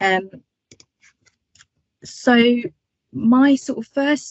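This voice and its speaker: A speaker with a British accent and ordinary pitch variation. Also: woman. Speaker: marketing lecturer. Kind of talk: webinar talk. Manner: hesitant, many fillers.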